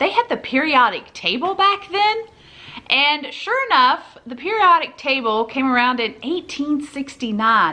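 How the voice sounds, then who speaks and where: Raising and projecting her high voice, a woman with a Southern US accent swings her pitch very widely. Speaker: family vlogger. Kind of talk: casual commentary; reading aloud.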